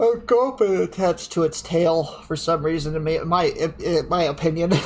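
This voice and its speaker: A loud, high-pitched man's voice against noticeable background noise. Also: ordinary pitch variation, moderate pace. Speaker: card game streamer. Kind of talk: live card opening commentary. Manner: halting.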